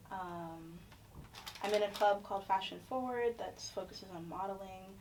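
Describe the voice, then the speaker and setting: A woman with an American accent, medium pitch and ordinary pitch variation, at a moderate pace, with audible room echo and noticeable background noise. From Florida. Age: 20s. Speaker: social work graduate student. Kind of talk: casual chat.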